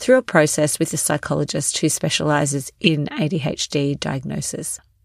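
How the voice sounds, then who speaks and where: With an Australian accent, a woman speaks at a moderate pace in a very deep, low pitch and with fairly even intonation. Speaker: podcast host and wellness coach. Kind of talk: solo podcast monologue.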